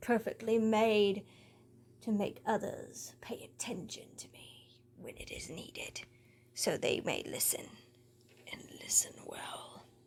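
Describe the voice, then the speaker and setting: A female-sounding voice performs a raspy, put-on character voice. It moves at a fairly slow pace with long, frequent pauses. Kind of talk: in-character monologue. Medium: audio drama. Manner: proud, sardonic storytelling.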